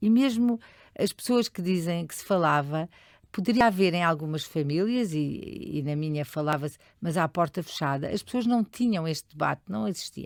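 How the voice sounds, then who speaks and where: On a very clean recording with a silent background and a dry, close sound with no echo, a woman at a fairly low pitch speaks at a moderate pace with lively intonation. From Portugal, Lisbon area (Oeiras). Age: 60s. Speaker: charity leader. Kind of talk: interview. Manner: hesitant, many fillers.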